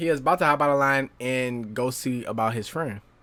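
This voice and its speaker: Medium in pitch, a man's voice moves at a moderate pace with ordinary pitch variation. The recording is very clean, with a silent background. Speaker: gaming YouTuber. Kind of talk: casual storytelling. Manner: animated; loud.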